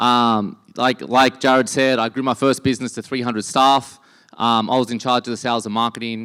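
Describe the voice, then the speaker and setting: Recorded dry and close with no echo, the speaker talks at a fairly quick pace with fairly even intonation in an Australian accent. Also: man. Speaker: entrepreneur and conference speaker. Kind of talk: conference talk.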